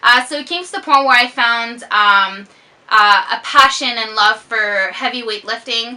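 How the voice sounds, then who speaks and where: A woman's high, bright and sharp voice, fairly slow, with ordinary pitch variation. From Quebec. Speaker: fitness vlogger. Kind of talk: casual chat. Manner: slurs words sometimes.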